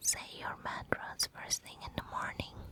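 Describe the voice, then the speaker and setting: A woman whispers in a soothing tone. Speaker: ASMR relaxation guide. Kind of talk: relaxation guide, whispered ASMR. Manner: whispered, soothing.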